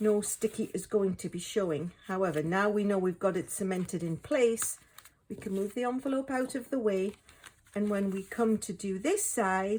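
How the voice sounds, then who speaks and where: A woman in a British accent, at a moderate pace, with ordinary pitch variation. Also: medium pitch for a woman. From Britain. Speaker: card-making crafter. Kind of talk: tutorial. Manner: casual.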